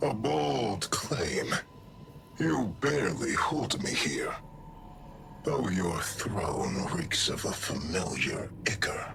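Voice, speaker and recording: Over clear background noise, a man does a put-on character voice, very slow and fairly low in pitch. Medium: video game. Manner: grave, imperious.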